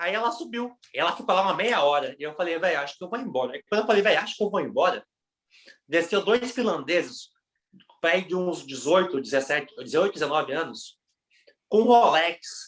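Lively intonation marks this man's high-pitched voice as he talks at a moderate pace. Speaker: podcast co-host. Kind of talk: casual chat.

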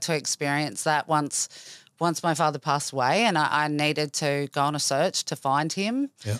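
This woman has a very deep, low pitch. She speaks with an Australian accent. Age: 40s. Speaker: cancer survivor. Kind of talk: interview, personal story.

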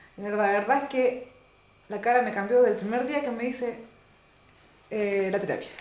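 A woman's fairly high voice at a moderate pace, with ordinary pitch variation, long, frequent pauses and big swings in loudness, plus audible room echo and noticeable background noise. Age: 40s. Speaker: nurse and complementary therapist. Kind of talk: casual chat.

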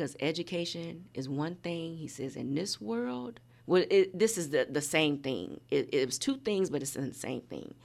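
With hardly any pauses, a woman in an American accent speaks at a very deep, low pitch and with lively intonation. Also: moderate pace. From Indiana. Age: 50s. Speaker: nonprofit founder. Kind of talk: casual chat.

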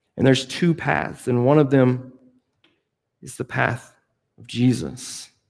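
Fairly slow delivery with long, frequent pauses and ordinary pitch variation. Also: man, medium pitch for a man, big swings in loudness. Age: 30s. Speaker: youth pastor. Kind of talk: sermon.

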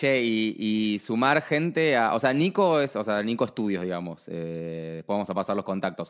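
A man with an Argentine accent and lively intonation. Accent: Rioplatense Argentine Spanish. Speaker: podcast host. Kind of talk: casual interview chat. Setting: remote call.

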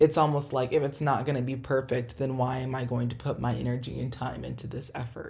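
In a very deep, low voice with a dark, mellow tone, a woman speaks somewhat breathily. Her delivery is monotone and flat at a fairly quick pace, with hardly any pauses. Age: 20s. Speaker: podcast host. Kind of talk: solo podcast monologue. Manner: casual with frequent fillers.

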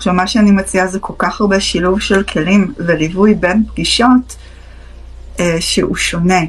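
A woman with fairly even intonation and a medium pitch talks at a moderate pace amid noticeable background noise. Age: 30s. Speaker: psychotherapist. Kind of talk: live-stream Q&A talk. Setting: live stream.

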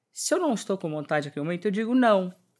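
A woman's medium-pitched voice is heard on a very clean recording with a silent background. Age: 50s. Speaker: entrepreneur and fashion designer. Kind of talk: interview.

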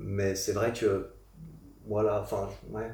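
A man talks at a very slow pace and a medium pitch. Noticeable background noise and audible room echo fill the recording. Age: 30s. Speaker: fitness YouTuber and podcaster. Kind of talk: casual chat. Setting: studio, sitting on a couch in Paris.

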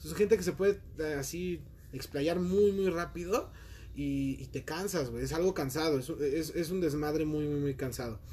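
A man with a fairly high pitch and a normal speaking voice. His pitch varies in an ordinary way at a moderate pace. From Mexico City. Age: 20s. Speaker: call center worker. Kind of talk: casual chat.

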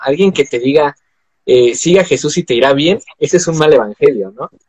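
With a normal speaking voice, a man talks at a moderate pace and a fairly high pitch, his intonation lively and the sound dry and close with no echo. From Mexico. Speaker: podcast host. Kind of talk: casual chat. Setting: live video stream.

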